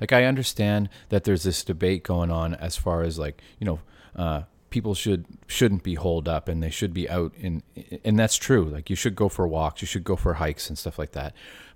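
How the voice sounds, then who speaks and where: On a very clean recording with a silent background, a man with a Canadian Maritime accent and a very deep, low pitch speaks at a moderate pace with ordinary pitch variation. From New Brunswick, Canada.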